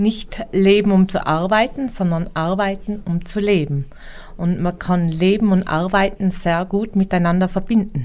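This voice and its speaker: A woman speaks fairly slowly in an unremarkable speaking voice. Her pitch sits in the medium range with ordinary variation. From Tyrol, Austria (near Imst). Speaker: mountain hut innkeeper. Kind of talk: interview.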